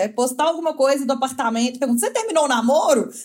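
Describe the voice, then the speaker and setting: Ordinary pitch variation marks speech delivered at a very fast pace. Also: woman. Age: 20s. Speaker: fashion designer and influencer. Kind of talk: casual chat. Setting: remote call from home, sitting on floor by modem.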